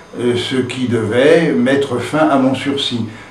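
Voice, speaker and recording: At a very slow pace with ordinary pitch variation, the voice carries audible room echo and noticeable background noise. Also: man. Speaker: Algerian war veteran. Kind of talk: testimony. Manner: halting, frequent hesitations.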